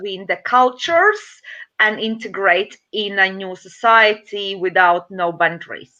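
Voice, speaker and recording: A woman with a Latvian accent talks fairly slowly in a bright, sharp tone at medium pitch, with ordinary pitch variation. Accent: Latvian accent, noticeable. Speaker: domestic violence advocate and community worker. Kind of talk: interview testimony. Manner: halting non-native English with fillers.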